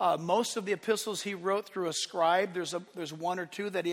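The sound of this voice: Someone reads in an unforced voice, and the intonation stays fairly even.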